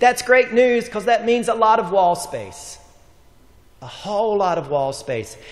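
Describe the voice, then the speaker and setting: The man speaks at a fairly slow pace. Room echo can be heard. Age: 50s. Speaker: pastor. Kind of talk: sermon.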